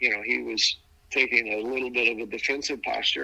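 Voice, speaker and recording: The speech comes at a very fast pace in an American accent. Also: man. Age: 70s. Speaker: adoptee telling his story. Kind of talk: interview testimony. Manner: halting, repeats words.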